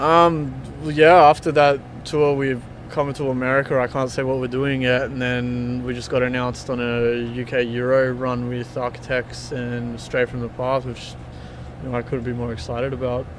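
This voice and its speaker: Over noticeable background noise, a man with an Australian accent speaks in a monotone, flat intonation. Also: medium pitch for a man, moderate pace. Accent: thick Australian. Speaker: touring metal band member. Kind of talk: casual interview chat.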